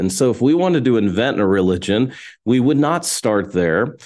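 With an American accent, a man speaks at a moderate pace with lively intonation in an unremarkable speaking voice. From Texas. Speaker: pastor and New Testament scholar. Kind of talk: interview. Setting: remote call.

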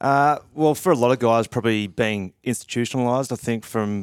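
A man with an Australian accent and fairly even intonation, on a very clean recording with a silent background. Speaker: retired footballer. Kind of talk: casual chat.

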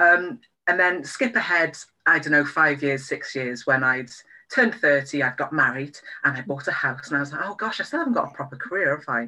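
The speaker has a Welsh accent. The pace is fairly quick. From Wales. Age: 30s. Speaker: sex and relationship therapist. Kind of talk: interview. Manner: hesitant, many fillers.

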